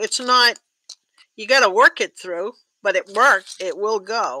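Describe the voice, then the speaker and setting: The woman's tone is bright and sharp. Her intonation is lively. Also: dry sound with no echo. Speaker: tatting teacher. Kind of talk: online class. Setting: video call.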